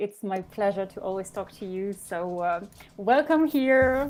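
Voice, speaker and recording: With a French accent, a woman speaks at a medium pitch with ordinary pitch variation. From France and Belgium. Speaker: podcast co-host. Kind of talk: casual interview chat. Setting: live video stream.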